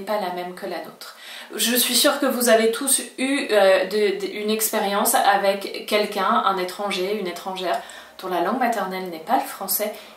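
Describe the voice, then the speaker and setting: A woman's fairly high voice with a slight French accent, at a fairly slow pace and ordinary pitch variation, amid noticeable background noise and audible room echo. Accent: slight French accent when speaking Spanish. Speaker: Spanish language teacher. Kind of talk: video lesson.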